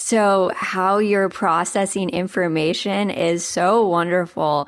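Very clean, with a silent background, the recording holds an unremarkable speaking voice. A woman speaks at medium pitch with ordinary pitch variation. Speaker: nonprofit interviewer. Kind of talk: interview.

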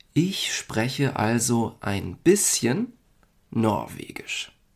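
The speech moves very slowly on a very clean recording with a silent background. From Germany. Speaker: language-learning podcast host. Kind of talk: language lesson for learners. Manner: slow and clear.

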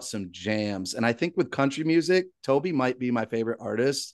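A man speaks at a moderate pace in an animated tone, with a medium pitch and ordinary pitch variation. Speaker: podcast host. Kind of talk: casual chat.

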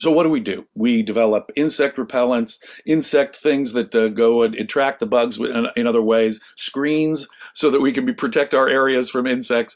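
A man with an American accent and an ordinary speaking voice, medium in pitch, with ordinary pitch variation, at a moderate pace, in a very clean recording with a silent background. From US West Coast, Los Angeles. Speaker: philosophy scholar. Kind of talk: interview discussion.

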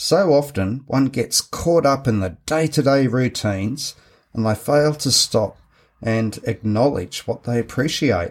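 This man speaks with an Australian accent at medium pitch, with lively intonation and a fairly slow pace, on a very clean recording with a silent background. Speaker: podcast host, men's group facilitator. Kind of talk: solo podcast talk, partly scripted. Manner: measured, read-from-notes delivery.

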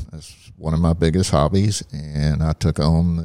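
In a Southeast Texas accent, a man speaks with a very deep, low pitch. His pace is very slow. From Southeast Texas, Port Acres near Port Arthur. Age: 60s. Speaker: church facilities manager. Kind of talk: casual interview. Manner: halting, with many fillers.

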